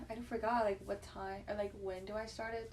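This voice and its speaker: Delivered at a moderate pace, the speech has monotone, flat intonation over noticeable background noise. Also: woman. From China. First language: Chinese. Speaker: podcast guest. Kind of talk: casual chat.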